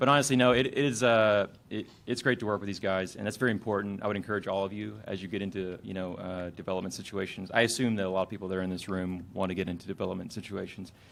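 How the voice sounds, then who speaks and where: A man speaks at a very fast pace with hardly any pauses. His pitch is fairly low. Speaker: game studio head presenting at a panel. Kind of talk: convention panel presentation. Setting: stage with audience. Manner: halting, many fillers.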